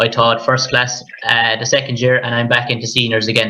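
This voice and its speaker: A man with a Limerick accent speaks at a fairly quick pace. His pitch is medium. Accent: Irish, Limerick. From Ireland, near Limerick. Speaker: primary school teacher. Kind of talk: panel conversation.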